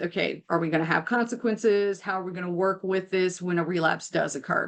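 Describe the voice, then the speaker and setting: Against a quiet background, a woman with a normal speaking voice talks at a fairly quick pace with medium pitch and fairly even intonation. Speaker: mental health counselor. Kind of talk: webinar presentation.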